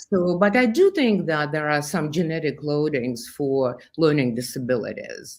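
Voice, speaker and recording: With a Russian accent, a woman speaks at a moderate pace in a very deep, low voice with lively intonation, on a very clean recording with a silent background. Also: hardly any pauses. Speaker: therapist and brain researcher. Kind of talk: interview.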